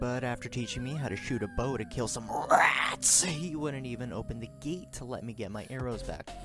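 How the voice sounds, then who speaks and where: With music in the background, a man talks at a fairly quick pace, his medium-pitched voice showing ordinary pitch variation. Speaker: gaming commentator. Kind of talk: scripted gameplay voice-over. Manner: stuttering at times.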